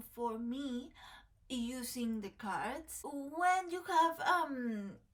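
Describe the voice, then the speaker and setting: A woman with a Mexican accent talks at a high pitch, her intonation lively. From Mexico. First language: Spanish. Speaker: tarot content creator. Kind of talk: casual chat to camera. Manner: halting, many fillers.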